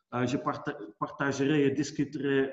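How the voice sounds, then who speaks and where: The speaker talks at a fairly slow pace with a Dutch accent. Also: man. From Netherlands. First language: Dutch (speaking French). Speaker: business executive. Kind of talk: webinar presentation. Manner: halting, many hesitations and repetitions.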